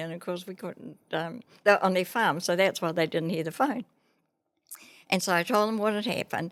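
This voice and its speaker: On a very clean recording with a silent background, a woman speaks with a New Zealand accent. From New Zealand, Māori. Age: 80s+. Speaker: retired teacher and businesswoman. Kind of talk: podcast interview answer.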